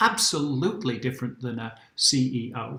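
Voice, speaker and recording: A man speaks with a British accent. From UK. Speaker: career workshop presenter. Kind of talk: workshop presentation.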